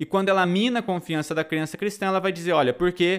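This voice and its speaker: In a very clean recording with a silent background, a man speaks. His pitch varies in an ordinary way. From Brazil, Tocantins. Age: 30s. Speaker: podcast host. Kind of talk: philosophy lecture. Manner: animated.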